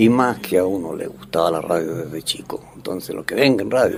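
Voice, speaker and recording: Noticeable background noise sits under the recording. A man speaks at a fairly quick pace. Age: 70s. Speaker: veteran radio announcer. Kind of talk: interview testimony.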